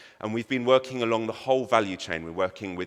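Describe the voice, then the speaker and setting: A man speaks at a fairly low pitch with a British accent. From Britain. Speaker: conference speaker. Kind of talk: conference presentation. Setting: stage with audience.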